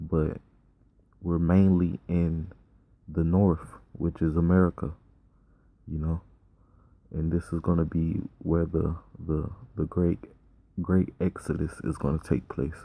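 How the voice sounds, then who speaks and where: With long, frequent pauses, a man talks at a fairly slow pace in a very deep, low voice, his tone dark and mellow and his intonation flat and monotone. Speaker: street preacher. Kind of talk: sermon. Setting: outdoors. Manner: repetitive stammering.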